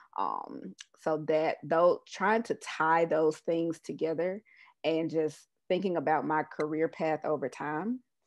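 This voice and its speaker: In a quiet background, a woman talks at a very slow pace with a very deep, low pitch and ordinary pitch variation. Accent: slight Southern US. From US South, Mississippi (Jackson). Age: 30s. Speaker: public health professional. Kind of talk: interview conversation.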